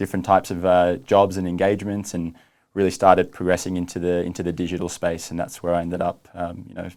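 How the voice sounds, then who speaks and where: In an Australian accent, a man speaks at a very fast pace in a very deep, low pitch, flat and monotone, on a very clean recording with a silent background. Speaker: streaming company executive. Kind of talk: interview. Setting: studio.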